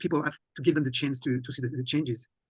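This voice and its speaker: This man speaks with a French accent at a fairly high pitch. His voice is somewhat breathy. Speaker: conference host and interpreter. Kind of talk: interpreted online presentation. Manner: halting, repeats words.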